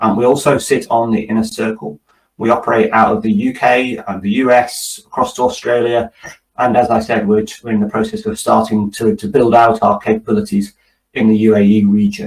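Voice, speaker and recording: A man with a British accent, at a fairly quick pace. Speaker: tech company executive. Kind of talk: webinar presentation. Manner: hesitant, repeats words.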